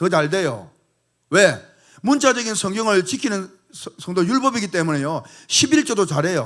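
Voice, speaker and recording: A high-pitched male voice at a moderate pace, full of very wide pitch swings. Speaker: pastor. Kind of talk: sermon.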